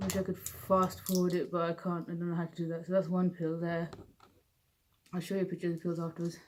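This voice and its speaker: A woman mumbles at a very fast pace with a British accent. Her intonation is monotone and flat. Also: fairly low pitch for a woman. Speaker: vlogger with Parkinson's. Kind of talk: personal vlog. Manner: mumbling; slurred.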